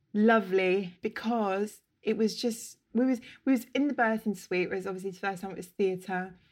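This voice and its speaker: A woman with a London accent at a moderate pace, her loudness swinging widely. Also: medium pitch for a woman, hardly any pauses. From London, Camden. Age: 30s. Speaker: interior stylist. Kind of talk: casual chat.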